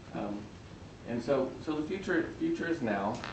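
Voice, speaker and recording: Mumbling at a moderate pace, a man speaks over noticeable background noise with audible room echo. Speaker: physician speaker. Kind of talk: talk to students. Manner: halting.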